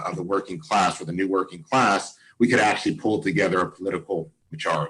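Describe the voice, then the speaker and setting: A man with a very deep, low pitch. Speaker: community organizer. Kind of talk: panel talk. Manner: fast.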